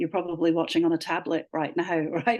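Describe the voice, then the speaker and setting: In an Australian accent, a woman speaks at a very fast pace. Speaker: literacy educator. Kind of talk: webinar presentation and Q&A.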